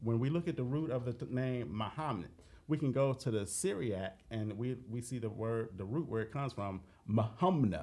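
A man with a medium-pitched, dark, mellow voice speaks at a moderate pace with lively intonation. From Dayton, Ohio. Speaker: author, researcher. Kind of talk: interview.

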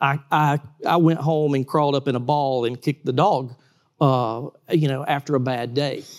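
A man speaks with a Georgia accent at a moderate pace. His pitch is fairly high, and the recording is very clean with a silent background. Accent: US Southern (Georgia). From South Georgia, US. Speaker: trampoline park owner, former lawyer. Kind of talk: interview.

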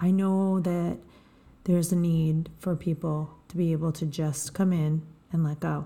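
In a fairly low pitch, a woman speaks with a dark, mellow tone, a somewhat breathy quality and flat, monotone intonation. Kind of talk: guided meditation.

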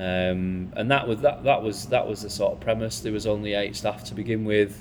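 The speaker's voice is a fairly low man's voice. He moves at a moderate pace. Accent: Lancashire. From Bolton, northern England. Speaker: bar manager. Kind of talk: panel conversation. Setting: live event with audience.

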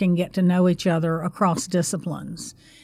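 An American-accented woman speaks at a fairly quick pace and medium pitch in a normal speaking voice. The recording is very clean, with a silent background. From North Carolina. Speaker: university public service center director. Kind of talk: interview.

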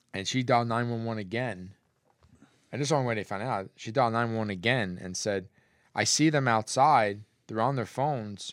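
With an American accent, a man talks at a fairly quick pace in a medium-pitched, unremarkable speaking voice, recorded very cleanly over a silent background. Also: ordinary pitch variation. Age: 50s. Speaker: podcast co-host. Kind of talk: casual chat. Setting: studio, streamed live on Facebook.

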